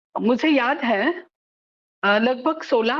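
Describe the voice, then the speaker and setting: Lively intonation from a woman with a non-native accent. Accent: non-native Hindi, self-described weak Hindi. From Maharashtra, Pune. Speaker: social activist and author. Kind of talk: lecture. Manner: halting, with filler sounds.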